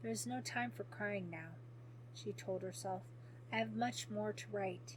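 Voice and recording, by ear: Someone is reading aloud in a natural voice.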